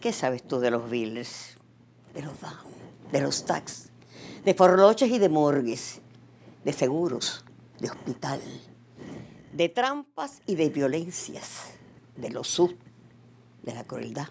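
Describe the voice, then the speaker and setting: A woman with a very deep, low pitch speaks at a very slow pace, with long, frequent pauses and big swings in loudness over light background noise. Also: lively intonation. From Cuba. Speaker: poet and actress. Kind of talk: rhymed poem performed, declaimed with dramatic emphasis. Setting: video message to the Cuban people. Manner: passionate, emotive, rhythmic delivery. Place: studio.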